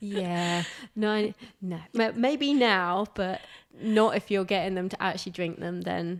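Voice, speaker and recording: On a very clean recording with a silent background, an ordinary speaking voice moves with ordinary pitch variation. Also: woman. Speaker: pole dance teacher and yoga instructor. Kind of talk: interview question.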